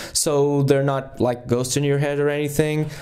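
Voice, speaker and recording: The man's voice has a dark, mellow tone. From Portugal. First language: Portuguese. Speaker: podcast host, music interviewer. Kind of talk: podcast intro monologue, dry humor. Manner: hesitant, with fillers.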